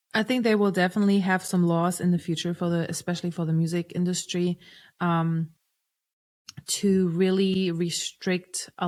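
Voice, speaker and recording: In a German accent, a woman speaks at a fairly slow pace with a fairly low pitch and fairly even intonation, on a very clean recording with a silent background. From Germany. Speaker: singer-songwriter and producer. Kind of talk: podcast interview. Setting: podcast recording.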